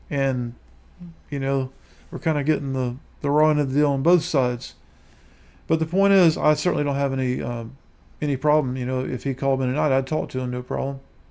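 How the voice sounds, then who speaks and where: Speaking at a fairly quick pace with long, frequent pauses, a man with a dark, mellow tone keeps a medium pitch and fairly even intonation. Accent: American. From US South, Lower Alabama. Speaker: YouTuber. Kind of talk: live stream monologue. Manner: halting.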